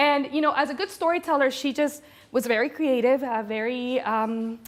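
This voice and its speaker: A woman speaks at a high pitch in an animated tone. Her pitch swings very widely. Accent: Spanish. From Venezuela (Caracas). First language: Spanish. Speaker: corporate storyteller and speaker. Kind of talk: conference talk.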